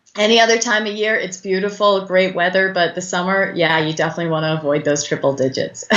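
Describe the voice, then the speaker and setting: Speaking very fast, a woman hardly pauses at all, her voice at a medium pitch with ordinary variation. Noticeable background noise runs underneath. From Northern Ireland. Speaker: business coach. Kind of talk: interview.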